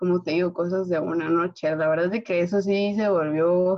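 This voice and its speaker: A woman with a normal speaking voice talks at a moderate pace, fairly low-pitched with fairly even intonation. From Guatemala. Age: 20s. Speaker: engineering student. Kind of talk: casual chat.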